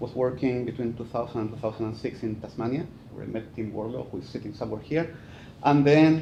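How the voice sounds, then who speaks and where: A man with a Chilean accent speaks at a fairly quick pace in a medium pitch with ordinary pitch variation. His dark, mellow tone is somewhat breathy, and the room echo is audible. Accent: Chilean Spanish accent, noticeable. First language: Spanish. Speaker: forestry professor. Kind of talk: conference talk. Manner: hesitant, many fillers.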